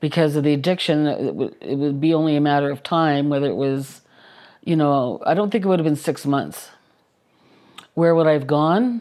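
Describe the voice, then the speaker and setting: A woman's very deep, low voice, dark and mellow, at a moderate pace with ordinary pitch variation. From Canada, military family moving around. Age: 60s. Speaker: recovering alcoholic in treatment program. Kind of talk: personal testimony interview.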